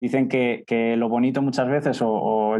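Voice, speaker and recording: Medium-pitched male speech carrying a dark, mellow tone. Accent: Castilian. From central Spain (Castilla-La Mancha). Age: 20s. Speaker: startup co-founder. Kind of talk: interview conversation.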